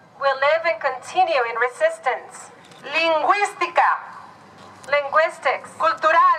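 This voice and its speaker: Raising and projecting her voice, a woman speaks at an extremely high pitch and a fairly slow pace, with long, frequent pauses and noticeable background noise. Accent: Mexican. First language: Nahuatl. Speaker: rally speaker. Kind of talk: speech at a rally.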